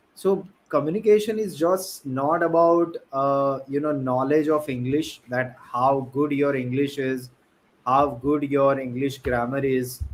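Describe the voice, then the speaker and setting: A fairly slow man's voice, fairly high in pitch, with ordinary pitch variation and an Indian accent. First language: an Indian language. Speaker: podcast host. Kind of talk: casual chat.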